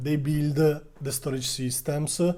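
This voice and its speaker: Somewhat breathy and dark, mellow in tone, the voice carries an Italian accent. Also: man. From Italy. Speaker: stock market youtuber. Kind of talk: video commentary on a stock. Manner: hesitant, frequent uh fillers.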